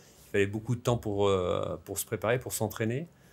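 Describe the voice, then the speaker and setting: Speaking at a moderate pace, the man has a fairly low pitch and fairly even intonation. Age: 60s. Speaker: sports federation president, former pro cyclist. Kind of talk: interview. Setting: equestrian centre, filmed podcast. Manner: halting, many filler hesitations.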